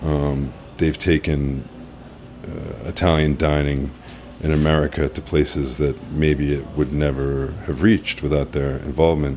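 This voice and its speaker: Over noticeable background noise, a man with a very deep, low pitch speaks fairly slowly in a monotone, flat way. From Massachusetts, Cape Cod. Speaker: executive chef. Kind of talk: interview. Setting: studio.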